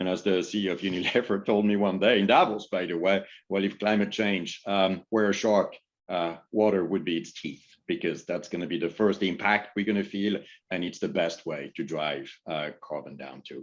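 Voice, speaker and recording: A man speaks in a French accent at a fairly low pitch with ordinary pitch variation. The background is quiet. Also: moderate pace. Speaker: business executive. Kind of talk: panel discussion.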